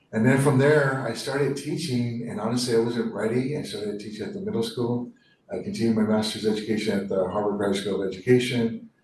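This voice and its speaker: A man's medium-pitched voice at a very fast pace, with audible echo from the room. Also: ordinary pitch variation. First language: Spanish. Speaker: school superintendent. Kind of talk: formal presentation at a board meeting. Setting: public board meeting. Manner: casual and warm, with fillers.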